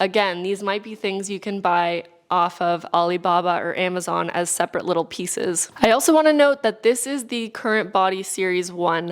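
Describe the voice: With a Californian accent, a woman speaks at a moderate pace with few pauses, using a fairly low pitch, ordinary pitch variation and a clear, smooth tone.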